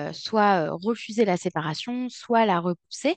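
The woman's delivery is very slow. Her pitch moves in an ordinary way. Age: 20s. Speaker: clinical psychologist. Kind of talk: interview.

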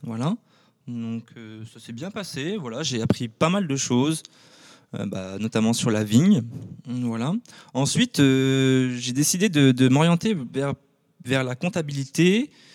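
A man of medium pitch speaks at a fairly slow pace with lively intonation, long, frequent pauses and big swings in loudness. The recording is very clean, with a silent background. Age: 20s. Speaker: champagne winegrower. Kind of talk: casual interview. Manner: halting, many fillers.

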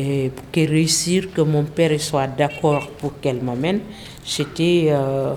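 A woman's very deep, low voice with a Senegalese accent, very slow and fairly even in intonation, over noticeable background noise. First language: Wolof (speaking French). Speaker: French language learner. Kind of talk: personal testimony.

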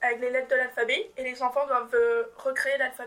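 This woman's voice sits high in pitch. Her tone is bright and sharp. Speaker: civic service volunteer. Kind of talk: radio interview answer.

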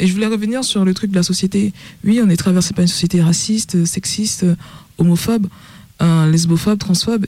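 A woman with a dark, mellow tone and a medium pitch talks somewhat breathily at a fairly quick pace. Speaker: DJ and festival organizer. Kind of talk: radio panel discussion. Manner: halting.

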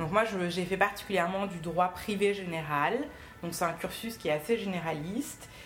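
A woman at a moderate pace, with audible room echo and music in the background. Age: 20s. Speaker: magistrate. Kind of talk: talk to a school class. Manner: hesitant.

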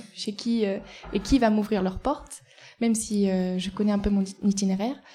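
Speaking very slowly, a woman uses a medium pitch, fairly even intonation and a dark, mellow, somewhat breathy tone. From Ardèche, France. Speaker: cycling traveller documenting community spaces. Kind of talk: live interview. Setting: café, live before an audience.

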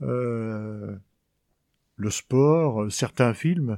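In a very clean recording with a silent background, a man speaks in a dark, mellow tone with ordinary pitch variation and a dry, close sound with no echo. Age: 50s. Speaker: blind craftsman at a sheltered workshop. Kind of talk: interview.

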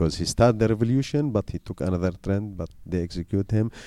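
A man with an Arabic accent talks at a fairly quick pace in a dark, mellow tone with ordinary pitch variation. The recording is very clean, dry and close, with no echo and a silent background. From Syria. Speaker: journalist. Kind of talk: interview. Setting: school visit. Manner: halting.

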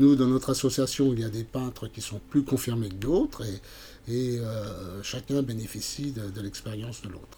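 Somewhat breathy and dark, mellow in tone, the voice has ordinary pitch variation and big swings in loudness. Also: man, medium pitch for a man, moderate pace. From France, Burgundy (Montceau-les-Mines area). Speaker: amateur painter and art workshop leader. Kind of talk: interview. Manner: halting, many repetitions and fillers.

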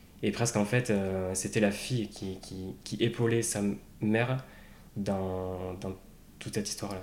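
A man speaks at a fairly slow pace in a fairly low, flat monotone, leaving long, frequent pauses. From Basque Country, France. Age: 30s. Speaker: bereaved brother, quality manager. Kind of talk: personal testimony interview. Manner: hesitant, many fillers.

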